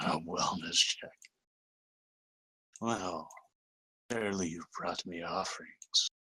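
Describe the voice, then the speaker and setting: A man uses a put-on character voice with a fairly low pitch. He goes at a fairly slow pace with long, frequent pauses. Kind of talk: playful game-master roleplay. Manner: chuckling, amused.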